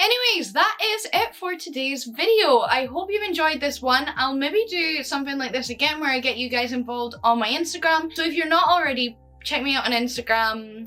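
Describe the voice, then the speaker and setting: The voice is raised and projected, with lively intonation. It moves at a fairly quick pace with hardly any pauses. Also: woman, high pitch for a woman. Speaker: YouTuber. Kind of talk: casual vlog reading viewer confessions.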